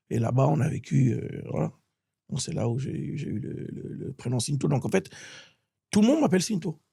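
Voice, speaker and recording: This man's medium-pitched voice has a dark, mellow tone, vocal fry and lively intonation. He talks at a moderate pace with long, frequent pauses. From France, with childhood years in Gabon (Libreville) and Bordeaux. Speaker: musician and author. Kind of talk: interview. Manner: halting, with many repetitions.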